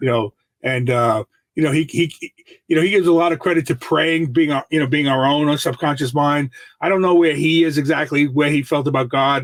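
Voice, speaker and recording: A man with an American accent and a plain, everyday voice, fairly high in pitch, at a fairly quick pace with fairly even intonation. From New York City. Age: 60s. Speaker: mindset coach. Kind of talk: podcast interview.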